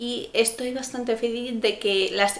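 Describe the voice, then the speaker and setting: A woman's fairly high voice with fairly even intonation. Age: 20s. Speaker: beauty vlogger. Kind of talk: product review vlog. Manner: casual, hesitant with fillers. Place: home room. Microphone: camera far.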